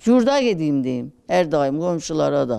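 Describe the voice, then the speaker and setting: A woman talks at a moderate pace in a dark, mellow tone. Her pitch is very deep and low, with very wide swings. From Gaziantep, Turkey. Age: 80s. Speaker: elderly Quran course student. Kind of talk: interview answer. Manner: casual, chatty, cheerful.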